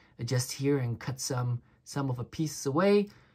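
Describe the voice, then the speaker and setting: A woman speaks with a very deep, low pitch and a somewhat breathy quality. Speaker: watch reviewer. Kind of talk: casual product review. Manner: halting, stuttering; animated.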